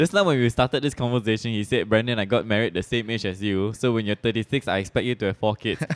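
A man with a Malaysian accent speaks at a very fast pace, with hardly any pauses. His voice sits at a medium pitch and has ordinary pitch variation. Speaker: podcast host. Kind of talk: casual interview; prayer.

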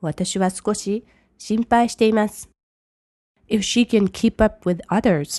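A woman's fairly high, dark, mellow voice at a very slow pace, with ordinary pitch variation, long, frequent pauses, a quiet background and a dry, close sound with no echo. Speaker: English language teacher. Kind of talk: language lesson.

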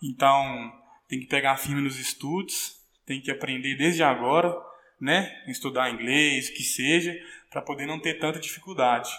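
A man's fairly high, bright, sharp voice at a moderate pace with fairly even intonation. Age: 20s. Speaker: professional footballer. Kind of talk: interview.

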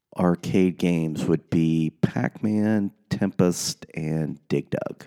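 The pace of this man's speech is very slow. Music can be heard behind him. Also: dry, close sound with no echo. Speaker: podcast guest.

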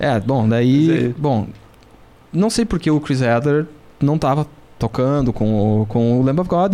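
A man with an unremarkable speaking voice and a fairly high pitch speaks with lively intonation. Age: 40s. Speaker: rock drummer. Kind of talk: casual chat. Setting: studio.

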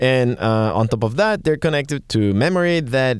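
Delivered at a moderate pace with lively intonation, the voice sits on a very clean recording with a silent background. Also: man. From Catalonia, Spain. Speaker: tech podcast co-host. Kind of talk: casual chat.

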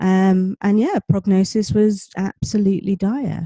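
Dry and close with no echo, a woman's voice has a dark, mellow tone and a southern English accent. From UK. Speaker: life coach and author. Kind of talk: interview.

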